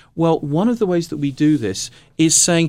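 A man speaks with a British accent at a moderate pace. His pitch is fairly high. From England. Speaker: music and health institute director.

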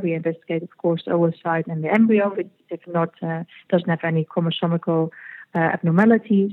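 This woman's pitch is fairly low and her intonation fairly even. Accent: Dutch. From Netherlands. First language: Dutch. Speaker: fertility clinic executive. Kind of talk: interview. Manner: halting.

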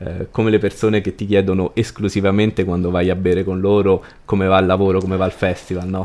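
A man speaks in a very deep, low voice at a very fast pace. His intonation is monotone and flat. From Rome, Italy. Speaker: cultural events organizer. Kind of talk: casual interview conversation.

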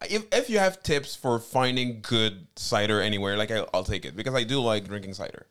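Barely pausing, a man with an American accent speaks on a very clean recording with a silent background. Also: medium pitch for a man, ordinary pitch variation, fairly quick pace. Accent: sounds American in English. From Cameroon. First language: French. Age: 30s. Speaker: comedian. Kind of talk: casual live-stream chat, bilingual.

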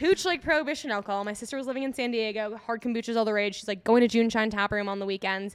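A woman talks at a very fast pace in an American accent, her pitch fairly high with ordinary variation. The recording is very clean, with a silent background. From Minnesota (Eagan, Twin Cities suburb). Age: 20s. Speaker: kombucha company founder. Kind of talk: casual interview. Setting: in a tap room.

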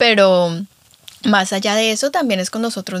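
A woman with a plain, everyday voice at a medium pitch, fairly even intonation and a moderate pace. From Colombia. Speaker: podcast host. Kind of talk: casual chat.

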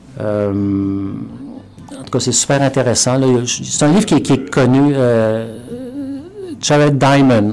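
At a very slow pace, a man of medium pitch talks with long, frequent pauses and ordinary pitch variation. Audible room echo and noticeable background noise are present. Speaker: professor. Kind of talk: interview. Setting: studio. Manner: halting, with repetitions.

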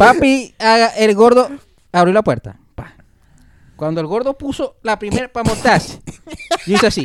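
Pitched high, a man speaks at a moderate pace with lively intonation and long, frequent pauses. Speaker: podcast guest. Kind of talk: casual chat.

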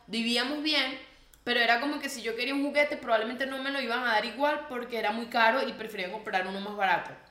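Amid audible room echo and noticeable background noise, a woman speaks at a very fast pace in a high pitch with ordinary pitch variation. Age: 20s. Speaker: podcast co-host. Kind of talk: casual chat.

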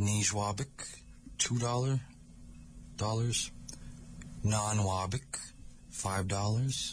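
A man's fairly low, somewhat breathy voice with an American accent, very slow and fairly even, broken by long, frequent pauses. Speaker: language teacher. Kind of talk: language lesson on community radio. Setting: radio studio.

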